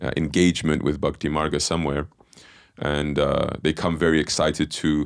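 Over a quiet background, a man's very deep, low voice races at a very fast pace. The intonation stays monotone and flat. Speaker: podcast host. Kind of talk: interview introduction. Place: studio. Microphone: studio mic.

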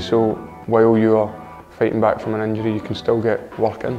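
Faint music plays in the background. A man speaks at a fairly quick pace. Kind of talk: interview answer. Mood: positive, relaxed. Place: gym. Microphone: lapel.

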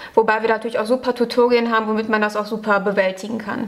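Speaking at a very fast pace, a woman keeps a fairly high pitch and fairly even intonation. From western Germany. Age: 20s. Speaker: university student. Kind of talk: casual interview. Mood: calm, friendly. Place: classroom.

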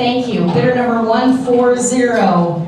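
A woman's high voice with ordinary pitch variation at a very slow pace, amid strong room echo and light background noise. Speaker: fundraising auctioneer. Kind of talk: live charity auction calling bidders. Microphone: camera far.

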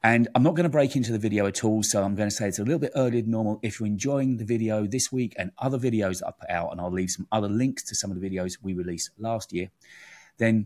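Against a quiet background, a man speaks very fast in a fairly low voice with ordinary pitch variation. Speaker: tech channel host. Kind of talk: video intro to camera. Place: studio. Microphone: studio mic.

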